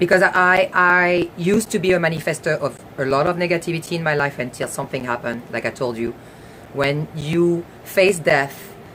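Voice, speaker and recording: Noticeable background noise sits behind a woman with a fairly low pitch. She speaks at a moderate pace with ordinary pitch variation. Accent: French. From France. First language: French. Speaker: talk show host. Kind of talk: live stream talk. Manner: halting.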